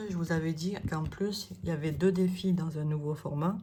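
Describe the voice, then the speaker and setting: A woman's voice, dark and mellow in tone and somewhat breathy, carries audible room echo. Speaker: budget planner content creator. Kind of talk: product presentation. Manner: hesitant, many fillers.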